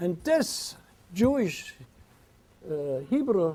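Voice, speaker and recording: Noticeable background noise sits under a man's high-pitched voice. His pitch swings very widely. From Vienna, Austria. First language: German. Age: 80s+. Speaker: singer. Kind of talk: lecture to an audience.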